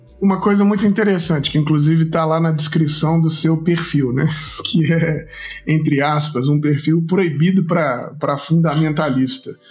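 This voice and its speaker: A man talks with fairly even intonation and very even loudness. Noticeable background noise and audible room echo come through in the recording. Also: fairly high pitch for a man, moderate pace. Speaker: podcast host. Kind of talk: read-out sponsor message; interview.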